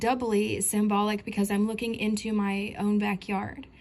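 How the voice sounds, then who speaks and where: A woman talks with an American accent at a fairly high pitch. Noticeable background noise runs under her voice. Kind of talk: casual dream testimony. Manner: hesitant, many fillers.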